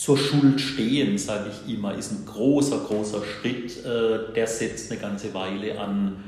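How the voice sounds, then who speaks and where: A man speaks very slowly with lively intonation. Audible room echo and noticeable background noise are present. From Baden-Württemberg, Germany (Bruchsal). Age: 50s. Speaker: prison chaplain. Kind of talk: interview. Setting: prison.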